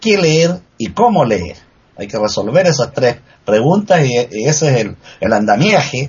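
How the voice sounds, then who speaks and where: A somewhat breathy man at a moderate pace, with very wide pitch swings. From Chile. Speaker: writer. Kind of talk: casual chat.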